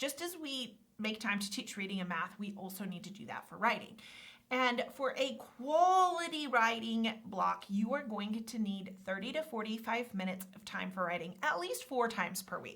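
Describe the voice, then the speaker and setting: A woman's fairly high voice, lively intonation and big swings in loudness at a moderate pace, with noticeable background noise. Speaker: teacher trainer. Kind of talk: webinar training.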